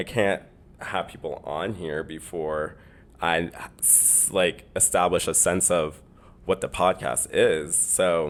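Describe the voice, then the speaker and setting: With a slight Canadian accent, a man talks at a very slow pace in a very deep, low pitch, his intonation fairly even. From Canada. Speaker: podcast host. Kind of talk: casual solo podcast monologue.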